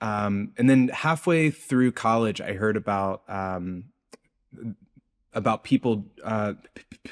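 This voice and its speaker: With a dry, close sound and no echo, a man with an American accent speaks very slowly at a medium pitch with ordinary pitch variation. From US South, rural South Carolina. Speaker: bioacoustics researcher. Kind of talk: interview. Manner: halting, repeated syllables.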